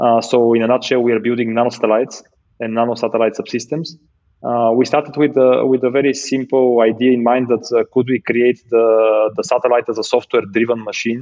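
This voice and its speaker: A man with a Bulgarian accent talks fairly quickly at a medium pitch, his intonation monotone and flat. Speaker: space startup founder and CEO. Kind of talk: interview. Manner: halting.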